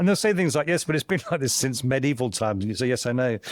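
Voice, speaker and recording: A man with a southern English accent. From southern England (Kent). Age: 60s. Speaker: tech thinker, former construction worker. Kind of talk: casual interview conversation.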